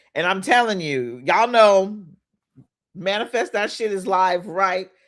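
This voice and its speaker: A woman speaks in an animated tone. Her pitch sits in the medium range. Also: very clean recording, silent background. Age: 40s. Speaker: life coach. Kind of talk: motivational talk.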